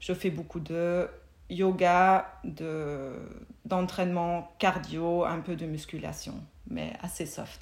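Fairly low in pitch, a woman speaks with a German accent and fairly even intonation. Her pace is very slow. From Germany. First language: German (speaking French). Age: 40s. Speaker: mindfulness teacher. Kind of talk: casual interview.

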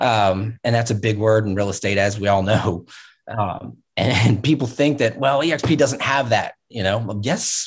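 A man speaks at a moderate pace with an American accent. His medium-pitched voice is somewhat breathy, with ordinary pitch variation. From Virginia Beach, Virginia. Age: 40s. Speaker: real estate agent and trainer. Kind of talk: interview conversation.

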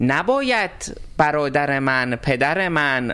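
A woman speaks with a very deep, low pitch. Her pitch swings very widely. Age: 30s. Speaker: cook and transgender interviewee. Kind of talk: interview.

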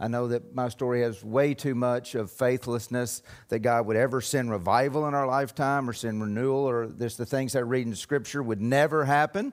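In an unremarkable speaking voice, the speaker goes at a fairly quick pace with fairly even intonation and hardly any pauses. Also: man, medium pitch for a man. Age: 50s. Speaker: pastor. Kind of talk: sermon.

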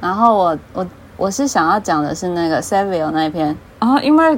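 With a Taiwanese accent, a woman speaks at a fairly quick pace. Her pitch swings very widely. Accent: Taiwanese Mandarin. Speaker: fan fiction writer. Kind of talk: casual chat.

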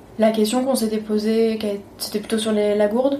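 This woman talks fairly quickly at a medium pitch in a monotone, flat intonation. Noticeable background noise and audible room echo are present. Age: 30s. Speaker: lawyer and traveler. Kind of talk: interview.

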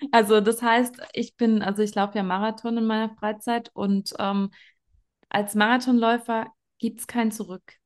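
The woman speaks at a moderate pace and a fairly high pitch, her intonation monotone and flat. Her loudness swings widely over a quiet background. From Germany. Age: 30s. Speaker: network marketing leader, trained nurse. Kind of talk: interview.

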